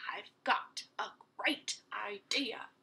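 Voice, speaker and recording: A woman in a put-on character voice, whispering and growling. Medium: read story. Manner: bossy, snarling.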